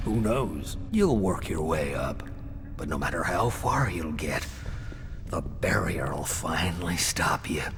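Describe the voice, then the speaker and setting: Through loud background noise, a man puts on a character voice with a very deep, low pitch at a fairly slow pace. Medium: machinima. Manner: world-weary, fatalistic.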